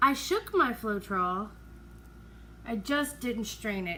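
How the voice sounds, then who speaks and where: A woman speaks quietly. Noticeable background noise sits behind her voice. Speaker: acrylic pour artist YouTuber. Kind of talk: casual tutorial commentary.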